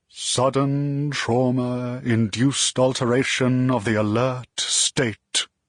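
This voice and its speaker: A man's put-on character voice at a medium pitch, monotone and flat, fairly slow with hardly any pauses, in a dry, close sound with no echo. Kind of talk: old-fashioned, formal. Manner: very slow and clear.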